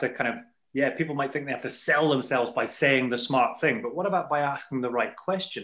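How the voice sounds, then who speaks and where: Speaking fairly quickly at a fairly high pitch, a man has a bright, sharp tone and ordinary pitch variation. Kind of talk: casual podcast conversation.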